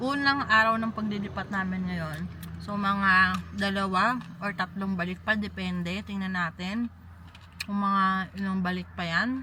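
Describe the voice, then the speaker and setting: A woman speaks at medium pitch with a bright, sharp tone. Her pace is fairly slow and her intonation fairly even. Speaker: vlogger. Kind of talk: casual vlog narration. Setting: at home. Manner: chatty, laughs often.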